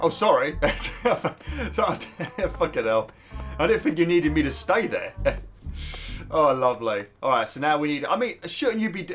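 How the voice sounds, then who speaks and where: A man talks at a moderate pace. Behind him, music plays. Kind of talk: casual video game commentary. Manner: casual, chatty, swears.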